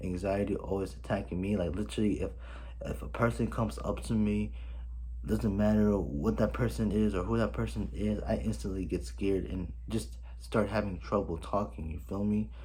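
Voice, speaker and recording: With audible room echo behind him, a man talks at a moderate pace in a very deep, low voice with vocal fry and a dark, mellow tone. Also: lively intonation. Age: 20s. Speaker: vlogger. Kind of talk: personal vlog. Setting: home, filming on camera. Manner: animated.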